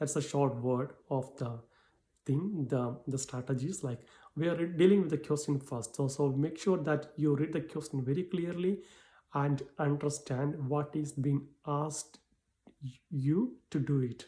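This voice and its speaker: Somewhat breathy and dark and mellow in tone, a man's fairly high voice moves at a fairly slow pace with ordinary pitch variation. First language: not English. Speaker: English exam tutor. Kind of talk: tutorial. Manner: halting.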